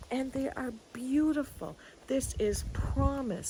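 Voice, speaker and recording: Somewhat breathy and animated, a woman talks at a fairly slow pace. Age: 60s. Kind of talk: casual devotional talk. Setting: outdoors in a garden.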